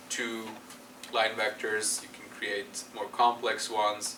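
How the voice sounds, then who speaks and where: A man with a non-native accent speaks at a medium pitch and a fairly slow pace, with monotone, flat intonation. Audible room echo and noticeable background noise fill the recording. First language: not English. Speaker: university lecturer. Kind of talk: lecture. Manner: halting, many fillers.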